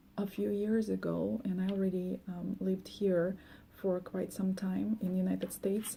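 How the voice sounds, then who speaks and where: The voice carries a Russian accent and is somewhat breathy. Its tone is dark and mellow, and the pace is fairly slow. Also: woman. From former Soviet Union. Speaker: life coach. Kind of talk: monologue. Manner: hesitant, many fillers.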